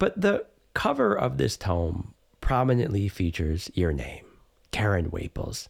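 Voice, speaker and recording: Here a man speaks at a fairly low pitch. His voice has vocal fry. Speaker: teacher and podcast host. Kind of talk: casual interview.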